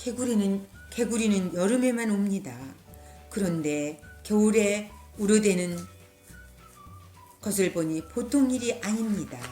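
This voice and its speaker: Music plays in the background as a woman speaks at a medium pitch with lively intonation. Her pace is fairly slow, with long, frequent pauses. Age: old. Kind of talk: storybook read-aloud.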